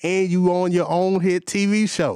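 A man with an American accent. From Gary, Indiana. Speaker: stand-in actor. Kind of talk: casual interview. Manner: animated.

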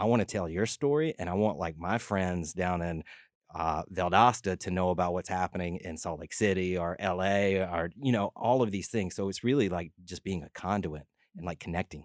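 At a moderate pace, a man with a very deep, low pitch and ordinary pitch variation speaks on a very clean recording with a silent background, the sound dry and close with no echo. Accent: Southern US. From LaGrange, Georgia. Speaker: filmmaker and nonprofit founder. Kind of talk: radio interview. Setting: studio. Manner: animated.

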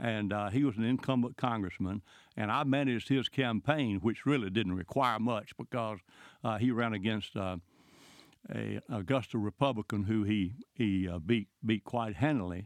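A man's fairly low voice with a Southern US accent, a moderate pace and ordinary pitch variation. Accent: Southern US (Georgia). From US South, rural Georgia. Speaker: former congressman. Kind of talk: interview.

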